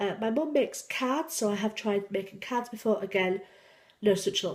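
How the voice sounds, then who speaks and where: Noticeable background noise runs under this recording. A woman speaks in a fairly high voice with a slight Yorkshire accent. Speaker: YouTuber, cross-stitch hobbyist and senior carer. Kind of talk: casual vlog, answering tag questions. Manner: hesitant, many ums.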